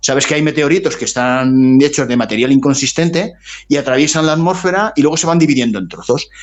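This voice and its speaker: Fairly quick, lively speech from a man with a rather high voice. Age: 60s. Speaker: writer. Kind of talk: interview. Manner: halting.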